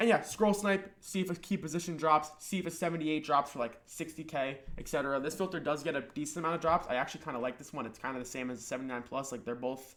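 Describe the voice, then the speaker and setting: This man speaks very fast, his fairly high voice showing ordinary pitch variation. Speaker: gaming YouTuber. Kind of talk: tutorial. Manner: casual.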